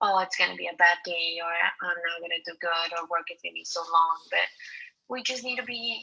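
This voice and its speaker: A woman speaks with a non-native accent. Her pace is moderate and her pitch variation ordinary. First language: not English. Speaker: college student. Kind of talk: class presentation. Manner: halting, many fillers and repetitions.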